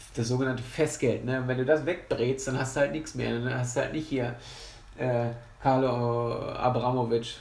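In a flat monotone, a man at medium pitch speaks at a moderate pace. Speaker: football podcaster. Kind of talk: angry rant about Bayern's poor form, sarcastic and exasperated, venting at length. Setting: home recording, solo podcast. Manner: sarcastic, exasperated, rambling with many fillers.

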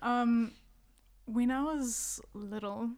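A soft-spoken woman. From South Africa. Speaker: singer-songwriter. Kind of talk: casual chat.

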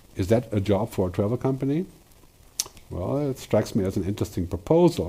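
Speaking at a moderate pace, a man uses lively intonation. His tone is dark and mellow. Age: 60s. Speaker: futurist speaker. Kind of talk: solo talk / presentation. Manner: hesitant fillers.

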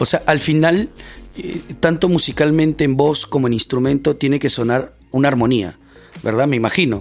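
The man's voice is fairly high, his pace moderate, and his pitch varies in an ordinary way. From Peru, Lima (Barranco). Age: 30s. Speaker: podcast host, church missions volunteer. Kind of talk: casual chat.

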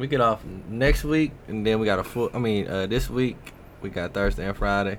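A plain, everyday voice, a man with an American accent at a fairly quick pace with ordinary pitch variation. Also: fairly low pitch for a man. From Milwaukee, Wisconsin. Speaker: podcast guest. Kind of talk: casual chat.

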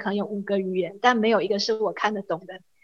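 An ordinary speaking voice from a woman, fairly high in pitch, with fairly even intonation. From Taiwan. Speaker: graduate student. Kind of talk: interview.

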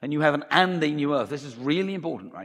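Very rapidly, a man talks with a rather high voice and typical pitch movement. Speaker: preacher. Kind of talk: sermon. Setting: church.

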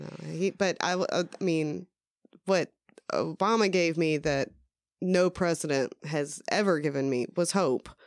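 In a dry, close sound with no echo, the speaker talks fairly slowly with a slight Southern US accent and ordinary pitch variation. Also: woman, fairly low pitch for a woman. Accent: mild Southern US. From US South. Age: 30s. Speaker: podcast guest. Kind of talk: casual chat.

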